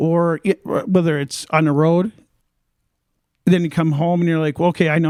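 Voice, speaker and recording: The speaker talks at a fairly quick pace with fairly even intonation, in a dry, close sound with no echo. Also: man. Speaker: rock drummer. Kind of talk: casual chat. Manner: halting.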